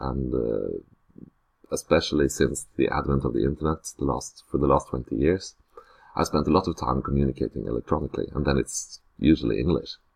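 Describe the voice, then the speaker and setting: A man with a Norwegian accent speaks at a very deep, low pitch with fairly even intonation. The sound is dry and close with no echo. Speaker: teacher. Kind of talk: unscripted screencast self-introduction. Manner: hesitant, many filler sounds.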